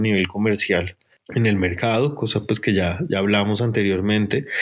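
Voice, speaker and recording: A man with a Bogotá accent speaks at a fairly low pitch. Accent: Bogotá Colombian Spanish. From Colombia, Bogotá. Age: 30s. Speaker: art gallery director. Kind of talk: interview. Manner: halting, many fillers and repetitions.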